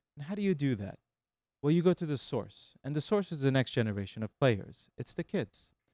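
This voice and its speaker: A man with a plain, everyday voice, fairly high in pitch, lively intonation, and a dry, close sound with no echo. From Iran and US (born in Texas, childhood in Iran). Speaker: music company lawyer and executive. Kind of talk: interview. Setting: studio.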